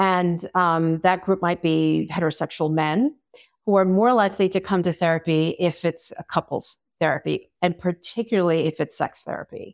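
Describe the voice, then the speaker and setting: A woman speaks in a normal speaking voice, fairly low, at a moderate pace with fairly even intonation. The sound is dry and close with no echo, on a very clean recording with a silent background. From Long Island, New York. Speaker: sex and relationship therapist. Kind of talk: interview.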